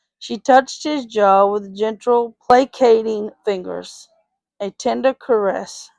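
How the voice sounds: A natural reading voice carries ordinary pitch variation over a quiet background.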